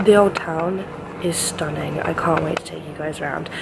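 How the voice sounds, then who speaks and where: Over noticeable background noise and audible room echo, a woman speaks with a fairly low pitch and fairly even intonation. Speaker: travel vlogger. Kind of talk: travel vlog. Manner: quiet.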